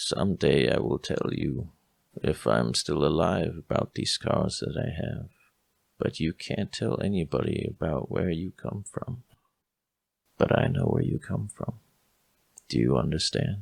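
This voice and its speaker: In a put-on character voice, a man speaks very deep and low, raspy, at a moderate pace with long, frequent pauses. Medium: actual play. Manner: gentle, motherly.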